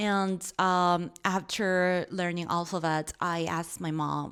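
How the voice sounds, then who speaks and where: Monotone, flat speech with a Korean accent, in a very clean recording with a silent background. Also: woman. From South Korea. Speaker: podcast co-host. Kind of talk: casual chat.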